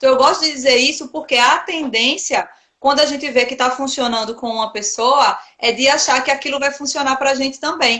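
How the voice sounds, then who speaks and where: Raising and projecting her voice, a woman with a Pernambuco accent speaks at a high pitch and a fairly quick pace with fairly even intonation. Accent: Pernambuco northeastern Brazilian. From Recife, Pernambuco, Brazilian Northeast. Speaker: occupational therapist and meditation coach. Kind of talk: casual interview chat. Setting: Instagram live video stream.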